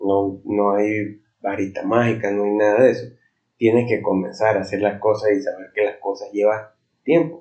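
At a moderate pace, a man talks with a fairly low pitch and ordinary pitch variation. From Venezuela. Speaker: podcast host, self-development speaker. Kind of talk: motivational monologue. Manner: hesitant, many fillers.

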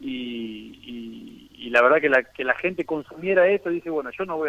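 A man's bright, sharp voice at a fairly quick pace, in a dry, close sound with no echo. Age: 30s. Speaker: professional footballer. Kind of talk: radio interview. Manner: halting, with frequent repetitions.

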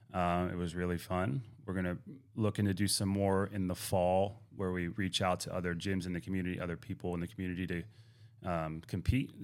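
A man's very deep, low voice at a fairly quick pace, with fairly even intonation, in a very clean recording over a silent background. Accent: American. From Pittsburgh, Pennsylvania. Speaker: gym owner and fitness coach. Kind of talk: casual interview.

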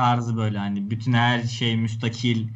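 A man speaks with monotone, flat intonation, and audible room echo surrounds his voice. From Turkey. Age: 20s. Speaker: swimming coach. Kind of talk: casual chat.

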